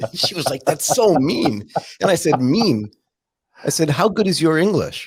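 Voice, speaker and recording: With an American accent, a man speaks at a moderate pace and a fairly high pitch, using very wide pitch swings and vocal fry. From California, US. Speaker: podcast host. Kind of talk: casual interview chat.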